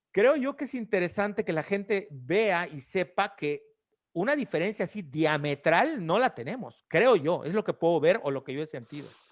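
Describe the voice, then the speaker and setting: At a moderate pace, a man with a high-pitched voice makes very wide pitch swings on a very clean recording, silent background. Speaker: podcast host. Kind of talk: casual chat.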